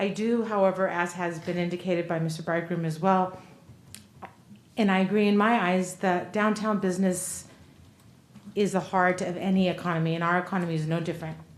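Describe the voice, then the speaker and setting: A fairly low-pitched woman with monotone, flat intonation at a fairly quick pace, audible room echo around her. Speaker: city council member. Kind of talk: council meeting deliberation. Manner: normally loud. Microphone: too quiet at first, not speaking into mic.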